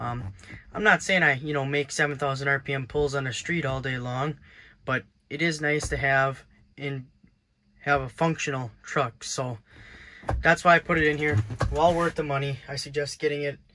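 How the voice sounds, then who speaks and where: With a bright, sharp tone, a man speaks at a moderate pace, with long, frequent pauses. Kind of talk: casual vlog chat. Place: car. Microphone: phone near.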